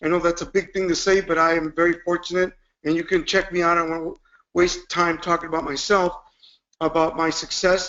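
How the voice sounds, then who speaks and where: This man speaks with a Spanish accent in a high pitch. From Cuba, raised in Chicago from age 7. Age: 50s. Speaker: motivational speaker. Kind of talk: motivational webinar talk.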